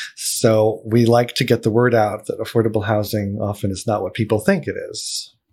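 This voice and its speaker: Speaking in a monotone, flat way with hardly any pauses, a man with an American accent keeps a moderate pace, a medium pitch and a somewhat breathy voice. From Pennsylvania, Allentown. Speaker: podcast host for a housing nonprofit. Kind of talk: casual interview. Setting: studio.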